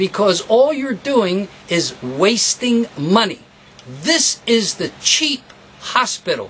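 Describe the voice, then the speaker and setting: With noticeable background noise, a man at a high pitch speaks at a very slow pace with very wide pitch swings. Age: 70s. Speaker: guitar repair technician and teacher. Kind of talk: tutorial. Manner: animated.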